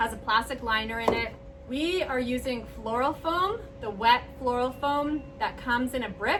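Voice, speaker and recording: Loud and high-pitched, a woman talks at a moderate pace with ordinary pitch variation against noticeable background noise. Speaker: flower arranging channel host. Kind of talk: tutorial. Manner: casual. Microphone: far from the camera.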